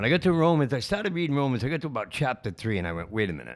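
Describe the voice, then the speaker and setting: A man speaks at a very fast pace in a medium pitch. His pitch swings very widely. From Rhode Island, Warwick. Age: 60s. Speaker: recovering alcoholic at rescue mission. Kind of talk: testimony. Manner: halting.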